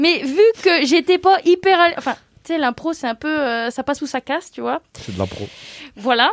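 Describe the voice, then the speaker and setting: A woman speaks loudly in a high pitch with lively intonation at a moderate pace, her voice dry and close with no echo. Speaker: graphic designer and illustrator. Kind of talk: casual chat.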